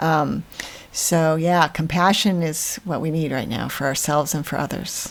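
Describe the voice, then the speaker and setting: Over noticeable background noise, a woman speaks in a very deep, low pitch with fairly even intonation. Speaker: podcast co-host, professional organizer. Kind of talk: casual podcast conversation. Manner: fast.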